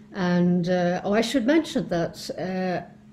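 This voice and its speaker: In an Irish accent, a woman speaks at a very slow pace over light background noise. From Ireland. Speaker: philosophy scholar and author; interviewee. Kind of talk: recorded self-introduction talk. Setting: home study. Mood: calm, reflective. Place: home room.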